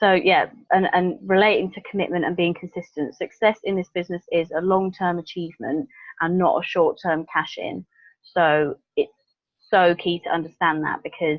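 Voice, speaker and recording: A woman's voice at medium pitch. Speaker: network marketing team leader. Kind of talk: video call training talk. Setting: video call. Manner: fast.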